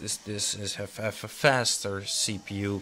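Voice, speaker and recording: Fairly slow, flat, monotone delivery from a man with a non-native accent and a fairly low pitch. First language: not English. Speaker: tech hobbyist YouTuber. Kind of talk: tutorial. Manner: halting.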